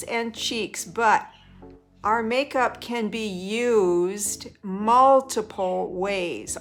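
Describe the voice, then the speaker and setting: A woman's fairly high voice at a very slow pace, ordinary pitch variation, music in the background. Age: 60s. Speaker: makeup artist. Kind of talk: makeup tutorial talk to camera.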